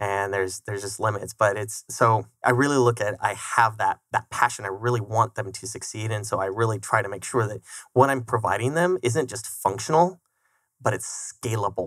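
With a General American accent, a man talks at a moderate pace and medium pitch with ordinary pitch variation, in an ordinary speaking voice, the sound dry and close with no echo. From Colorado. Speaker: software development founder. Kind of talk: casual interview. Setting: studio.

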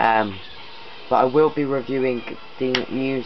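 A man talks at a fairly slow pace. There is music in the background. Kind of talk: casual vlog chat. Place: home room. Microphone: phone near.

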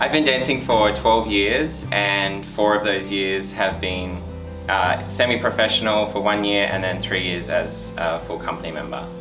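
Clear music plays behind a man speaking at a moderate pace. His voice is fairly low in pitch, with ordinary pitch variation. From Australia (Wollongong, New South Wales). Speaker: professional ballet dancer. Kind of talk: interview answer. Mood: friendly, reflective. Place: studio.

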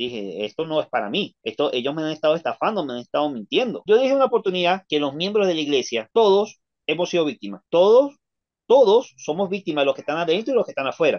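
A man at a high pitch, very fast pace and very wide pitch swings, against a quiet background. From Venezuela. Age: 30s. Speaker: ex-member of a church sharing his story; interview guest. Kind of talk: testimony. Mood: indignant, recounting bad experiences. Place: home room.

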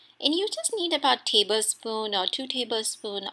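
Her tone bright and sharp, a woman speaks at a fairly high pitch with lively intonation. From India. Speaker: lifestyle vlogger. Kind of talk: vlog with cooking tutorial. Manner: casual, friendly. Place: kitchen.

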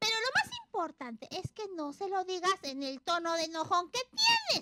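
Cartoonish character voice, bright and sharp in tone, with very wide pitch swings and a dry, close sound with no echo. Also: moderate pace.

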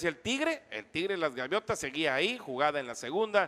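A man speaks in a raised, projected voice with a high pitch and a bright, sharp tone on a very clean recording with a silent background. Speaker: sports broadcaster. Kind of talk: live sports commentary, baseball game recap. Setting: radio broadcast.

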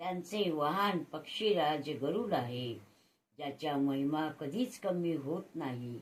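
Very deep and low in pitch, a woman speaks with lively intonation. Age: old. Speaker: grandmother reciting scripture. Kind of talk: devotional scripture reading. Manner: devotional.

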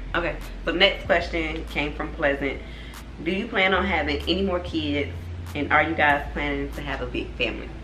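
Someone with a North Carolina accent talks at a moderate pace. Light background noise and audible room echo are present. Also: woman. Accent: North Carolina Southern. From US South. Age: 20s. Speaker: family vlogger. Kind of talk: casual chat. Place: home room. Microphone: camera far.

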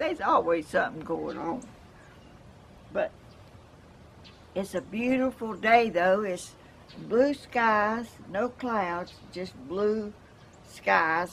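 A woman with a Southern US accent speaks at a very slow pace, leaving long, frequent pauses. Her fairly high voice has lively intonation over light background noise. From Georgia, US South. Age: 80s+. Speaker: home gardener. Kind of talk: casual talk to camera. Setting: outdoors. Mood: warm, cheerful. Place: garden. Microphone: camera far.

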